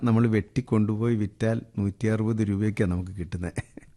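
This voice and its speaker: Man with a fairly low pitch and a dark, mellow tone. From Kerala, Idukki district (Adimali). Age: 50s. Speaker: organic farmer and businessman. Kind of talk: interview.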